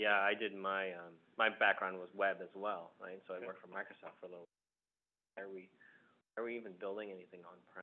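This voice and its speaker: Speaking very fast with a fairly low pitch and an American accent, the man keeps a monotone, flat intonation while his loudness swings widely and long, frequent pauses break up his speech. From Southern California. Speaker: tech company marketing executive. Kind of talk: panel interview. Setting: alumni center room with conference phone. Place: meeting room.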